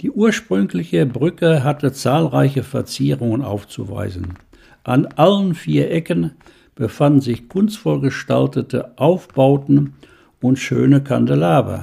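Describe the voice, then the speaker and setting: At a fairly slow pace, a man with a medium pitch and a dark, mellow tone shows vocal fry and very wide pitch swings. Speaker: local historian and author. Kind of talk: reading aloud.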